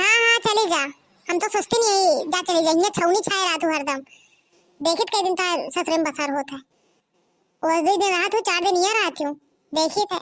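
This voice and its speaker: A woman performs a squeaky, cartoonish character voice at an extremely high pitch. Her speech has long, frequent pauses. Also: fairly quick pace. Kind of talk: village comedy squabble. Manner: blunt, scolding.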